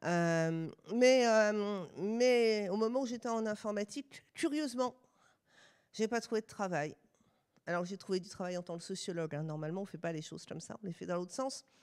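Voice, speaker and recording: A woman of medium pitch talks at a moderate pace with a Swiss accent and lively intonation. Her loudness swings widely, and the recording is very clean with a silent background. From France. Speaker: sociologist and university researcher. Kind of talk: lecture. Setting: stage with live audience.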